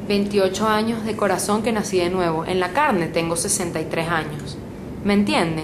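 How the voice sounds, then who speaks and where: A woman's speech, with ordinary pitch variation, comes through audible room echo and noticeable background noise. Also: medium pitch for a woman, moderate pace. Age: 60s. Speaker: preacher. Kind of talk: sermon.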